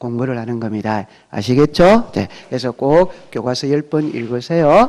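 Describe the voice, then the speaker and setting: With very wide pitch swings, a man speaks in a dark, mellow tone. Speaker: real estate law instructor. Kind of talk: lecture. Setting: classroom with students. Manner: speeds up when talking; question-and-answer style with class.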